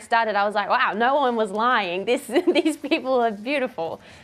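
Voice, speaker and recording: A woman speaks with an Australian accent at a fairly high pitch. Her pace is fairly quick. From Australia, Queensland. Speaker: actress. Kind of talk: TV interview. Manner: hesitant, many fillers.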